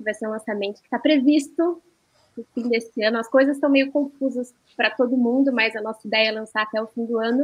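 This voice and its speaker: A woman with a high pitch speaks with fairly even intonation and big swings in loudness. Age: 20s. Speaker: poet and blogger. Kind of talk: panel discussion.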